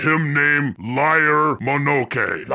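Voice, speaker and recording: A man puts on a character voice at a fairly high pitch. Light background noise can be heard. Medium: actual play. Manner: broken simple speech, blunt.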